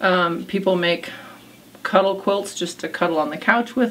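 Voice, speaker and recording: Noticeable background noise sits behind this woman. She speaks at a medium pitch and a moderate pace. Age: 60s. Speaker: quilt shop owner. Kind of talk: interview. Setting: in her quilt shop. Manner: conversational, with many fillers.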